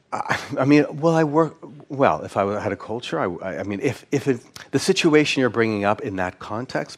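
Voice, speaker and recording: Moving at a moderate pace, a man speaks with vocal fry and very wide pitch swings. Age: 60s. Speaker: psychologist lecturing at a conference. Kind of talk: conference lecture with audience Q&A. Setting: conference stage with audience. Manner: hesitant, many repeated words and fillers.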